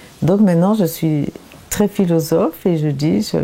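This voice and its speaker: Noticeable noise sits behind a woman who talks very slowly. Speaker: painter. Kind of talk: interview. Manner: halting, many repetitions and hesitations.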